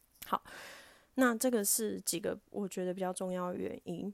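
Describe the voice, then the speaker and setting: The recording is very clean, with a silent background. A woman speaks at a medium pitch with ordinary pitch variation. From Taiwan. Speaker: podcast host and diving instructor. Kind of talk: casual solo talk.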